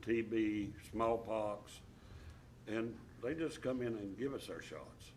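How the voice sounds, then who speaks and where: At a very slow pace with long, frequent pauses, a man talks in a medium pitch with fairly even intonation and audible room echo. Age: 70s. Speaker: school board member. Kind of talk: meeting discussion. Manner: halting.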